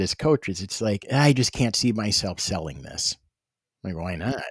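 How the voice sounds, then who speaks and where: With an American accent, the voice makes very wide pitch swings in a dry, close sound with no echo. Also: man. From Wisconsin, US Midwest. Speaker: e-commerce seller and coach. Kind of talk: casual interview.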